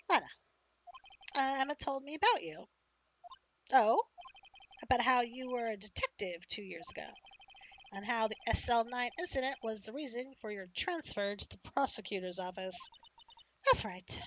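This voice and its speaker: A woman's put-on character voice, high in pitch and lively in intonation, with big swings in loudness and long, frequent pauses. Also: moderate pace. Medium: game stream.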